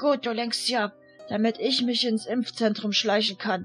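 A woman does a raspy, put-on character voice with a fairly high pitch and fairly even intonation. She moves at a moderate pace, with faint music in the background. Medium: read story. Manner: blunt, impatient.

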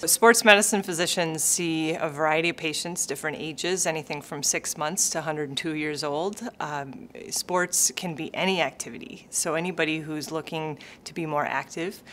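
A woman with an American accent, very deep, low pitch, ordinary pitch variation and hardly any pauses, over light background noise. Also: moderate pace. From Minnesota. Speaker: sports medicine physician. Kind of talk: interview answer. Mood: warm, friendly. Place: office.

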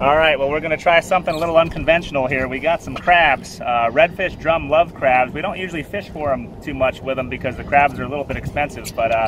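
With noticeable background noise and a dry sound with no echo, a man speaks at a very fast pace with ordinary pitch variation. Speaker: fishing guide. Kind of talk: tutorial. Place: boat. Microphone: headset.

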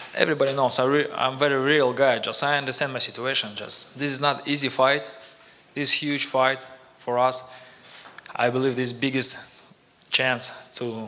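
Flat and monotone, a man speaks at a moderate pace with long, frequent pauses. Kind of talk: press conference speech. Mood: friendly, grateful. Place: hall. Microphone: podium.

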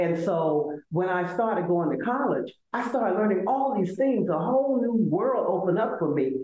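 A woman speaks in an Alabama accent at a moderate pace. Her pitch swings very widely, and the room echo is audible. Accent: Southern US (Alabama). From US South, Selma, Alabama. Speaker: law professor and university administrator; law professor. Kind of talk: interview. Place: office. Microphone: video call.

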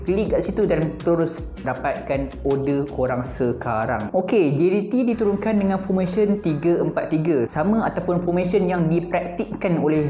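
Faint music plays in the background as a man speaks at a fairly slow pace with audible room echo. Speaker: football commentator youtuber. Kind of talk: casual commentary. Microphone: lapel.

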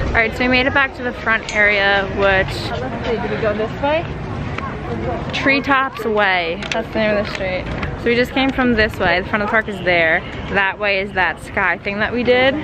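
The speech moves at a moderate pace with ordinary pitch variation, recorded dry with no echo against noticeable background noise. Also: woman. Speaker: vlogger. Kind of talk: casual vlog chat. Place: street. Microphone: phone near.

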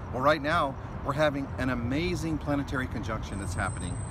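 A man's fairly quick speech comes through a dry, echo-free sound amid loud background noise. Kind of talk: devotional talk to camera. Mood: warm, festive, earnest. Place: street. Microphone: phone near.

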